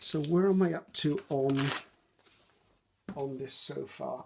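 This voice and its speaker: In a British accent, a woman speaks with a dark, mellow tone. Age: 60s. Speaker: craft youtuber. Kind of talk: craft tutorial with casual chat. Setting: home craft desk, filmed on iPad. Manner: casual, hesitant with many ums.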